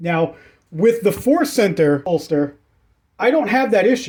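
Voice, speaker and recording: A man speaks with a high pitch. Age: 40s. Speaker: YouTuber reviewing firearms gear. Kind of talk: product review. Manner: casual, repetitive stammering.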